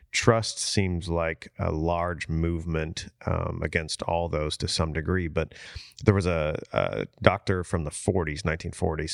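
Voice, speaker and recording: In a dry, close sound with no echo, a man talks at a fairly slow pace with a very deep, low pitch. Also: very clean recording, silent background. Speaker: church podcast co-host, pastor. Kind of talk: casual faith discussion.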